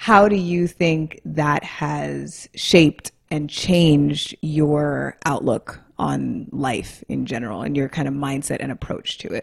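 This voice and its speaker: A woman speaks at a very slow pace. She leaves hardly any pauses. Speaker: podcast co-host. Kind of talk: casual banter, interview.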